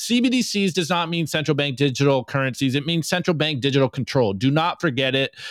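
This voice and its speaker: An American-accented man talks at a very fast pace in an animated tone, with a fairly high voice and ordinary pitch variation. His loudness stays very even throughout. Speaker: bitcoin podcast co-host. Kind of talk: live-streamed podcast commentary.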